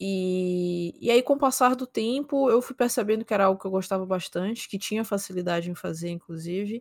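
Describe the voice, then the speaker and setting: A woman speaks in an unremarkable speaking voice at a medium pitch with ordinary pitch variation. She goes at a fairly quick pace with hardly any pauses, on a very clean recording with a silent background. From São Luís, Maranhão, Brazil. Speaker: esports caster and streamer. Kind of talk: casual interview chat.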